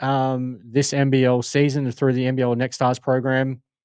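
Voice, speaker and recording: Against a quiet background, a man with a fairly high pitch talks at a moderate pace. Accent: Australian. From Australia, Adelaide. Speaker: sports podcast host. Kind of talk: casual podcast monologue. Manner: halting, many fillers.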